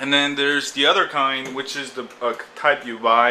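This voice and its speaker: Noticeable background noise sits behind a voice moving at a moderate pace with fairly even intonation. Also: man. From Korea. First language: Korean. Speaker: blogger. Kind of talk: casual explanatory monologue. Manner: halting, many fillers.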